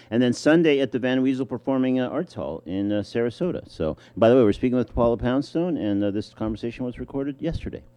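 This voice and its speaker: Over music in the background, a man speaks at a very fast pace. His pitch is medium, with ordinary variation. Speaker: radio host. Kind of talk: radio interview.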